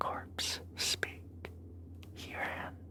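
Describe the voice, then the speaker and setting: Over noticeable background noise, a voice comes through as a whisper. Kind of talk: ASMR whispered horror story reading. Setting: close-mic studio recording. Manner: whispered, soft.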